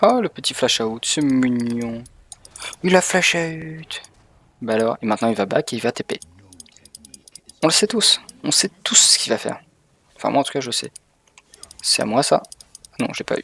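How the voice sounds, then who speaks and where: With long, frequent pauses and very wide pitch swings, a man with a fairly high pitch talks at a moderate pace in a dry, close sound with no echo. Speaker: video game streamer. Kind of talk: live gameplay commentary. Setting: streaming from home. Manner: animated.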